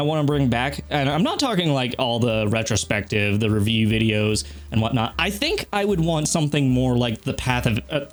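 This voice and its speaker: A man with an American accent, very even loudness and hardly any pauses, over noticeable background noise. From Texas. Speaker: gaming YouTuber. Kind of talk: casual channel update monologue. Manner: casual, hesitant with fillers.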